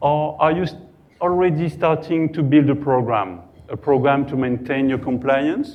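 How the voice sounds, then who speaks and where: Speaking fairly slowly with a French accent, a man uses a fairly high voice and fairly even intonation. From France. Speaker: cybersecurity compliance consultant. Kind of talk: conference talk. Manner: halting.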